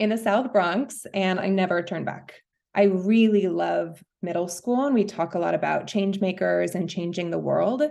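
A woman with an American accent, medium in pitch and dark, mellow in tone, at a moderate pace. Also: ordinary pitch variation. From New York. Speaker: school principal. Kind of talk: casual interview.

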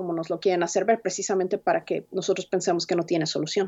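At a very fast pace, a woman speaks in a medium pitch with monotone, flat intonation. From Mexico City. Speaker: immigrant rights organizer. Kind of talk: interview.

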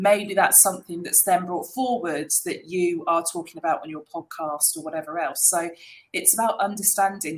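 She has an ordinary speaking voice, set at a medium pitch for a woman. Her pace is moderate, with ordinary pitch variation. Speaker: marketing agency managing director. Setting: video call.

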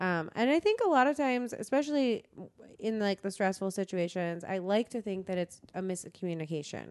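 A woman speaks in a normal speaking voice at a medium pitch. Her intonation is lively and her pace fairly quick. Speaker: comedy festival creative director. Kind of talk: casual interview chat.

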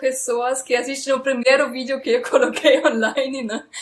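A woman's high-pitched voice with a German accent, at a moderate pace. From Germany. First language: German (speaking Portuguese). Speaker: comedian. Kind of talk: casual interview. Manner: halting.

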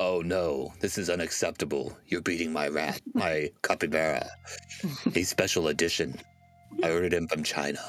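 Faint music plays behind a man doing a put-on character voice. His pitch is very deep and low, and his intonation is monotone and flat. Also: moderate pace, very even loudness. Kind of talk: comic overacting. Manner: wicked, grandiose.

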